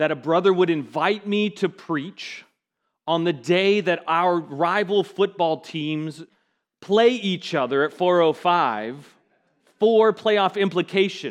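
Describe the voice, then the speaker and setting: Very slow and high-pitched, a man with an American accent talks with ordinary pitch variation against a quiet background. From US West Coast, Seattle. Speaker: pastor. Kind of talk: sermon. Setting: church.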